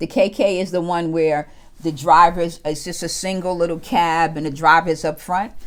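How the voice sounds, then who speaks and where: A woman with a New York accent talks at a moderate pace. Her fairly low pitch follows fairly even intonation. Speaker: travel vlogger. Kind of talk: interview.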